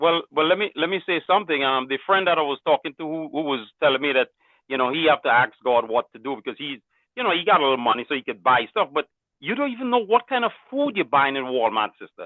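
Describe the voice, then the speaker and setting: Loud and very fast, a man with a fairly high pitch speaks with very wide pitch swings. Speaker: caller. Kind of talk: casual call-in comment.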